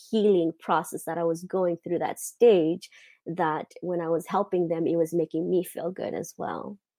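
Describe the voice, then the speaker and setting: In a Mozambican accent, a woman speaks at a moderate pace with a dark, mellow tone and fairly low pitch. The sound is dry and close with no echo over a quiet background. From Mozambique. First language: not English. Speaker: lifestyle coach. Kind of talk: interview. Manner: halting.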